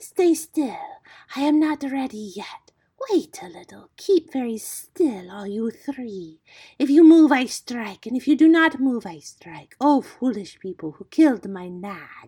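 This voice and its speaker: Hissing and menacing, a put-on character voice that sounds female speaks at a fairly slow pace and a high pitch. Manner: hissing, menacing, triumphant.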